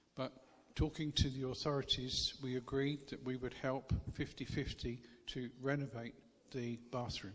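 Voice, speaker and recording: A man with an English accent speaks at a medium pitch and a moderate pace. His intonation is monotone and flat. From England. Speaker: charity worker, visiting missionary speaker. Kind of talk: church talk with consecutive interpretation. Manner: short phrases with pauses for interpreter.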